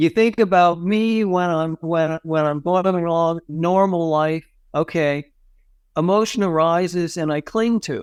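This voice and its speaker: In a very clean recording with a silent background and a dry, close sound with no echo, a man with an American accent talks at a fairly slow pace in a high pitch. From grew up abroad (El Salvador, Haiti, Pakistan), US family. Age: 60s. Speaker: psychotherapist and tai chi teacher. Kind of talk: podcast interview. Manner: animated.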